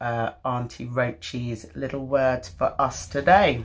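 Very slowly and at a very deep, low pitch, a woman speaks with ordinary pitch variation against a quiet background. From London. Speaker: actor. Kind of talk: casual talk to camera. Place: home room. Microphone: phone near.

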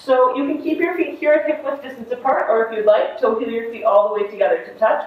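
The pitch moves with ordinary variation. Room echo can be heard. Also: woman. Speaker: yoga instructor. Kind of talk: guided yoga and meditation class. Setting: online live video class. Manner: gentle, instructive, with long pauses.

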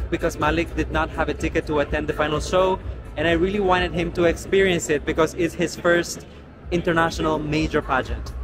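A man talks at a fairly quick pace with music in the background. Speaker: pageant vlogger. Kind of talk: casual vlog chat. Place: hall. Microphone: phone near.

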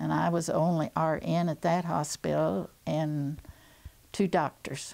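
With an American accent, a woman speaks in a very deep, low pitch and a dark, mellow tone. Her pace is fairly slow, with ordinary pitch variation. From Missouri. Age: 80s+. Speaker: retired nurse and WWII cadet nurse. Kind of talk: interview answer. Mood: calm, reminiscing. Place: home room.

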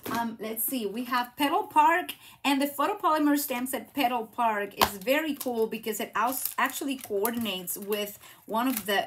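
A woman speaks at a moderate pace with lively intonation. There is noticeable background noise. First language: Spanish. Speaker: craft demonstrator and YouTuber; craft demonstrator. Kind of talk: live craft tutorial stream; devotional message. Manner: animated. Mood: warm, encouraging, faith-based. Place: home room.

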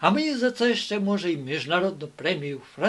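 Lively intonation in plain reading aloud

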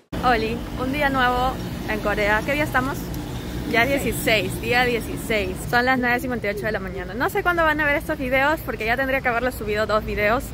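Noticeable background noise sits behind this voice. A woman speaks with ordinary pitch variation. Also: moderate pace, dry sound with no echo. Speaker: travel vlogger. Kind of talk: casual vlog chat. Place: street. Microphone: phone near.

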